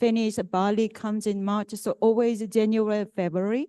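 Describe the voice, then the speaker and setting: A woman's medium-pitched, dark and mellow voice with a Korean accent, at a fairly quick pace, in a monotone, flat intonation, with a dry, close sound and no echo. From South Korea. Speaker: panelist. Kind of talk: panel talk.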